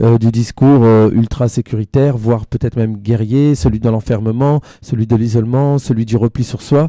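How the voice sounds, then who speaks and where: Speaking fairly quickly with a northern French accent, a man has a dark, mellow tone at medium pitch, ordinary pitch variation, and a dry, close sound with no echo. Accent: northern French (ch'ti), fairly pronounced. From northern France, near Belgian border. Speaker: singer-songwriter and author. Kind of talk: radio interview. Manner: hesitant, many fillers.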